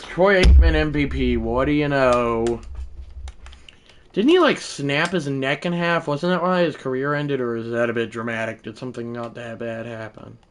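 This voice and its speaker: At a moderate pace and medium pitch, a man speaks with ordinary pitch variation. His loudness swings widely, and noticeable background noise is present. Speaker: gaming live streamer. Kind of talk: live gameplay commentary. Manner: casual, rambling with fillers.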